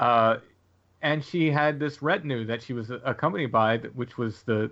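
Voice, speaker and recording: This man has a normal speaking voice at a medium pitch, with ordinary pitch variation. He talks at a moderate pace over a quiet background. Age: 50s. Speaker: author and podcast host. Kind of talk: interview.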